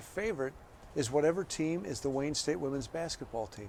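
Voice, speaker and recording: This man has a normal speaking voice, fairly high in pitch, at a moderate pace. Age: 60s. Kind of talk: interview. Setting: press box.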